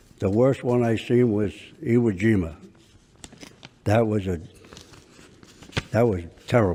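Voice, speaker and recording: With noticeable background noise behind him, a man speaks at a fairly slow pace with ordinary pitch variation and long, frequent pauses. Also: fairly low pitch for a man. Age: 80s+. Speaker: war veteran. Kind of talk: courtroom testimony. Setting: courtroom.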